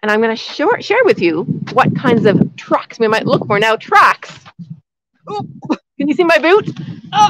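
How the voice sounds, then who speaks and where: A moderate pace with long, frequent pauses, dry sound with no echo and a quiet background. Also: woman. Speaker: outdoor nature educator. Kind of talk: live lesson for kindergarten children. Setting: outdoors in snow. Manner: loud, speaking up outdoors; animated, enthusiastic. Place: forest. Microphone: phone near.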